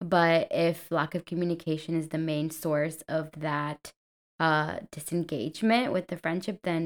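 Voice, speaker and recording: With a Spanish accent, a woman talks at a moderate pace in a fairly low pitch for a woman, her intonation fairly even, on a very clean recording with a silent background. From Colombia. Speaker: podcast co-host. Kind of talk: casual chat.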